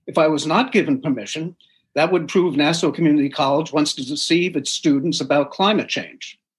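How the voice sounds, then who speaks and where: A man's fairly high voice at a fairly quick pace, an unremarkable speaking voice with ordinary pitch variation, on a very clean recording with a silent background. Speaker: plaintiff appellant arguing his own case. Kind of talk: courtroom oral argument, prepared pro se statement.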